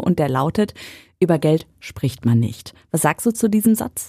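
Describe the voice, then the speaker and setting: Recorded very cleanly against a silent background, with a dry, close sound and no echo, a woman speaks in a dark, mellow tone at a moderate pace. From western Germany (North Rhine-Westphalia). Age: 30s. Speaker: radio presenter and podcast host. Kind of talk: casual interview.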